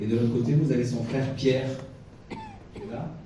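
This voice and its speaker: A man speaks at a moderate pace in a room with audible echo and noticeable background noise. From France. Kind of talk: lecture. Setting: chapel with audience. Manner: lively, animated; hesitant, many fillers.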